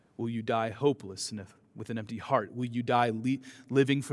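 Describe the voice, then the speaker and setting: A man with an ordinary speaking voice keeps a moderate pace and ordinary pitch variation. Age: 40s. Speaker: pastor. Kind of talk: sermon.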